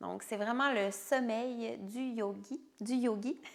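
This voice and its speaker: This woman speaks at a very slow pace. Her pitch is fairly high, with ordinary variation. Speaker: yoga instructor. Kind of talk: guided yoga nidra meditation. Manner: slow, soothing.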